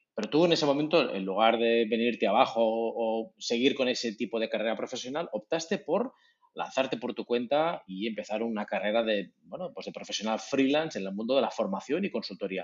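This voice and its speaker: An unremarkable speaking voice from a man at medium pitch, fairly quick and lively in intonation, with hardly any pauses. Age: 40s. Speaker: podcast host. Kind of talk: interview.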